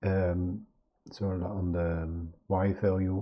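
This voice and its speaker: Here is a man talking. His pitch sits fairly low. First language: not English. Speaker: video artist teaching a software tool. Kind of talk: screen-share tutorial. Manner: halting, many fillers.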